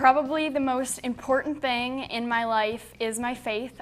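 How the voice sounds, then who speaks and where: A woman with an American accent at a moderate pace, with music in the background. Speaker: scholarship recipient, high school graduate. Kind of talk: self-introduction interview.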